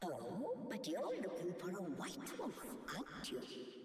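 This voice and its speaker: A put-on character voice at a middle pitch, fairly slow, with very wide pitch swings and strong echo. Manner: creepy, sinister.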